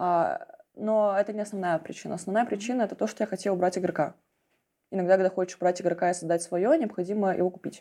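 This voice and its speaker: A woman talks at a very fast pace with fairly even intonation. Her medium-pitched voice has a dark, mellow tone. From Russian small town. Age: young. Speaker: business broker. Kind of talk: interview.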